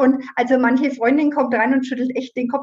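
A woman talks in a high voice while noticeable background noise runs underneath. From Middle Franconia, Germany. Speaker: herbal educator and home economist. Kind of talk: interview.

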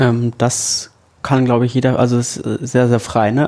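A man speaks in a dark, mellow tone at a medium pitch. His intonation is monotone and flat, and his pace fairly slow. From northern Germany, Lower Saxony. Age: 20s. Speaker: education student. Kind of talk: casual chat.

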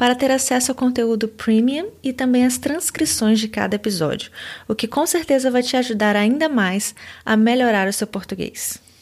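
A woman speaks at a high pitch with ordinary pitch variation. The recording is very clean, with a silent background. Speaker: language teacher podcaster. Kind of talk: language lesson.

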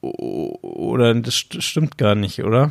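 Lively intonation runs through this man's speech in a Bavarian accent. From Bavaria, suburb of Munich. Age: 30s. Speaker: podcast host. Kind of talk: casual chat.

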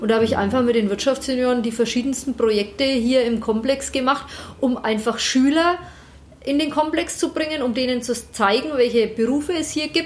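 A woman with a high-pitched voice speaks at a fairly quick pace with ordinary pitch variation over noticeable background noise. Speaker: managing director of a business park. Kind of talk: interview. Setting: office.

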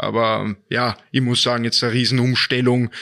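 A man speaks at a fairly quick pace in a medium pitch with monotone, flat intonation, on a very clean recording with a silent background. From Austria, Vienna. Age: 20s. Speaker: ice hockey player. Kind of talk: interview.

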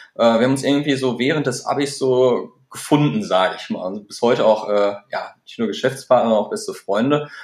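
A man's fairly quick speech with lively intonation. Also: medium pitch for a man, big swings in loudness. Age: 30s. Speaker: start-up founder and managing director. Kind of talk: interview. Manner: hesitant with many fillers.

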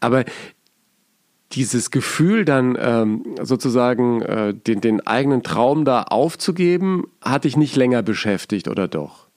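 Speaking at a very slow pace with long, frequent pauses, a man uses lively intonation at a medium pitch. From Bavaria. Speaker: podcast host. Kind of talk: podcast intro monologue; casual chat.

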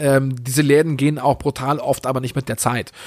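Here a man speaks at a fairly high pitch. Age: 40s. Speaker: podcast host and YouTuber. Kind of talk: casual solo podcast monologue.

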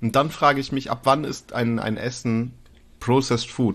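The background is quiet. Speech comes at a moderate pace. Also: man. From northern Germany, East Frisia. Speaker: podcast co-host. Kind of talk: casual chat. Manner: animated.

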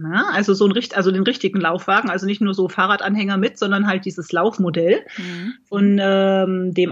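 A somewhat breathy woman talks at a fairly quick pace. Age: 40s. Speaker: blogger and amateur marathon runner. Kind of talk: casual interview.

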